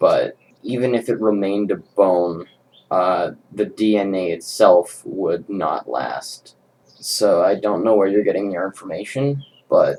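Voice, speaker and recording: A man speaks with a rumbling voice. His pace is fairly slow. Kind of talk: commentary response video. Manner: quiet, subdued.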